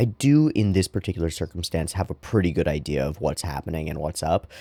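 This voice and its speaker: Quiet and dark, mellow in tone, a man talks at a fairly quick pace in a dry, close sound with no echo on a very clean recording with a silent background. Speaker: dungeon master and channel host. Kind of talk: casual vlog monologue. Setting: at home. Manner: talking quietly.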